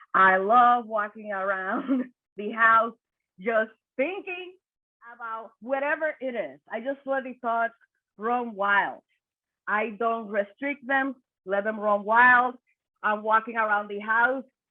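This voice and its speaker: Speaking at a very slow pace with long, frequent pauses, a woman uses a fairly high pitch. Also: ordinary pitch variation. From Dominican Republic. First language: Spanish. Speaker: suicide prevention worker. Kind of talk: panel discussion. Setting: video call.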